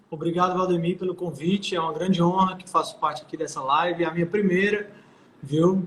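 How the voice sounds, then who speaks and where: Fairly even intonation marks a man's high-pitched voice as he talks at a moderate pace. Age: 20s. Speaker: political candidate. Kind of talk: interview. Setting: live stream.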